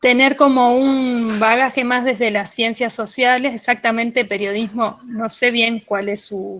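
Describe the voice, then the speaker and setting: A woman's fairly high-pitched, plain, everyday voice, at a fairly slow pace with fairly even intonation. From Argentina, Bariloche (Patagonia). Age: 40s. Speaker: radio producer of children's content. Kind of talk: interview, casual explanation.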